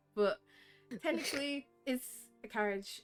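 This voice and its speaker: A woman speaks in a British accent with ordinary pitch variation. Music plays in the background. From Britain. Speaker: dungeon master. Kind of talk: tabletop roleplay narration. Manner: casual, hesitant with fillers.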